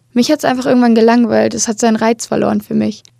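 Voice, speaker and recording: Fairly even in intonation, a woman with an unremarkable speaking voice speaks at a fairly high pitch in a dry, close sound with no echo. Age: 20s. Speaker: podcast host. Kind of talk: solo monologue.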